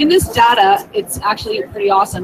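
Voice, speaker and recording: A woman speaks in a high voice with very wide pitch swings. Noticeable background noise runs underneath. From Canada, Ontario. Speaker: tech coach, teacher. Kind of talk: conference presentation, tutorial. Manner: animated, chatty.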